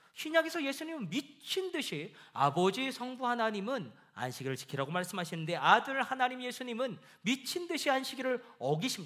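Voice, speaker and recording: A man speaks at an extremely high pitch with a bright, sharp tone. His pitch swings very widely. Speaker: pastor. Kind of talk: sermon. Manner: fast.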